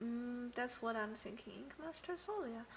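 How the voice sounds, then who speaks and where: A woman with a non-native accent and a high pitch speaks at a fairly slow pace with lively intonation. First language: not English. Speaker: streamer, card game player. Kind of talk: casual live stream commentary. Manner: halting, with many restarts and fillers.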